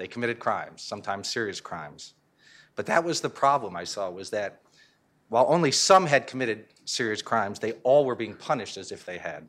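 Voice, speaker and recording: A man with an American accent and a plain, everyday voice, medium-pitched, fairly quick, with lively intonation and big swings in loudness, on a very clean recording with a silent background. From Connecticut. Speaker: criminal justice reform advocate. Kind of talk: conference panel talk. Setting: stage with audience.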